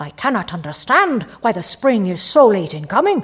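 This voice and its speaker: In a put-on character voice, the speaker sounds gruff and fairly high-pitched, moving at a moderate pace. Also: female-sounding voice. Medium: read story.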